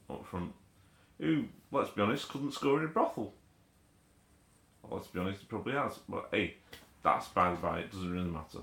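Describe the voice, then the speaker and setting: Through vocal fry, a man speaks with very wide pitch swings. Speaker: football fan vlogger. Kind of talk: post-match rant.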